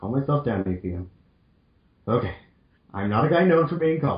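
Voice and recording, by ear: A man speaks at medium pitch and a fairly quick pace. His intonation is lively.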